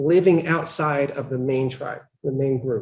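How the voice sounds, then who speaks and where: A man speaks with an American accent in a dark, mellow tone. His pitch varies in an ordinary way. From Pennsylvania. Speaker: law professor. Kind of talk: lecture. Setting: lecture hall with live and online audience. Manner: loud; mumbling.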